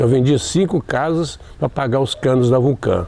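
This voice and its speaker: A man speaks at a fairly slow pace in a medium pitch, with noticeable background noise. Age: old. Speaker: retired teacher and storyteller. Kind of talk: interview. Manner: halting.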